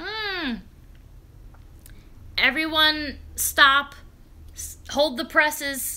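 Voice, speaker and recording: A woman raises and projects her voice. Her tone is bright and sharp. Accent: American. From New York, Long Island. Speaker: live streamer. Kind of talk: casual chat. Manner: animated.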